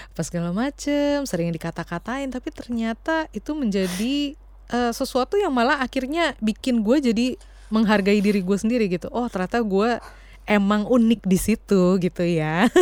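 With an unremarkable speaking voice, the speaker holds a moderate pace and uses lively intonation. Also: woman, fairly high pitch for a woman. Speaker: podcast co-host. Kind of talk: casual chat.

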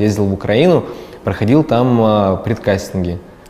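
A man speaks at a fairly low pitch. Noticeable background noise sits behind him. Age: 20s. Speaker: video blogger and producer. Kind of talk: interview.

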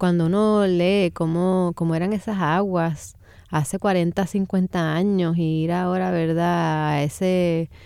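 Very slow and monotone, a woman with a fairly low pitch and a dark, mellow tone speaks in a very clean recording with a silent background. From Puerto Rico, San Juan. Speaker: poet. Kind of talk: radio interview. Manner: halting, many fillers and repeated words.

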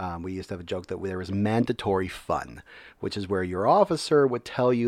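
A man's fairly quick speech is captured in a very clean recording against a silent background. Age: 30s. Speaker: military veteran and educator. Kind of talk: casual interview.

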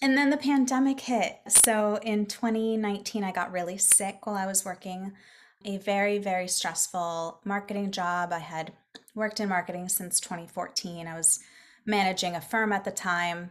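In an American accent, a woman with a plain, everyday voice speaks at medium pitch and a moderate pace, with ordinary pitch variation. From Florida. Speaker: business coach. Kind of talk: casual chat.

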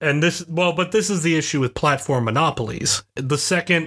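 Here a man talks at a moderate pace in an unremarkable speaking voice. The recording is very clean, with a silent background. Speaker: college professor, podcast co-host. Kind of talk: casual banter podcast.

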